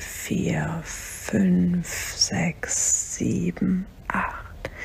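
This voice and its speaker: A gentle, calm tone at a very slow pace, with noticeable background noise. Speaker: meditation guide. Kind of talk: guided meditation. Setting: solo recording, podcast episode. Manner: slow, calm, soothing; gentle, unhurried, counting breaths aloud.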